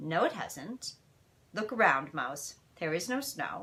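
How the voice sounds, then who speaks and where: A woman's put-on character voice, rumbling and fairly low-pitched, at a fairly slow pace. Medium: read story. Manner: curt, grumbly.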